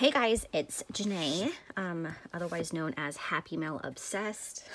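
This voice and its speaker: A woman with an ordinary speaking voice talks at a fairly slow pace. Her pitch is fairly low and her intonation lively. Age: 30s. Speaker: crafting vlogger. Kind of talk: casual vlog monologue. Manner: casual, many filler ums.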